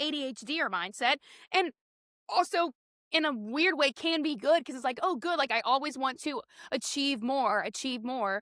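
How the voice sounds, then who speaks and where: With an American accent, a woman talks at a moderate pace in a raised, projected, high-pitched voice, her bright, sharp tone animated and her intonation lively, all in a dry, close sound with no echo. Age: 20s. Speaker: podcast co-host. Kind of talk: casual chat.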